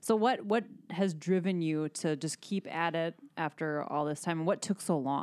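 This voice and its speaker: A woman with a normal speaking voice talks at a moderate pace and fairly low pitch, with ordinary pitch variation. The sound is dry and close with no echo, on a very clean recording with a silent background. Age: 40s. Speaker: podcast host. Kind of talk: interview.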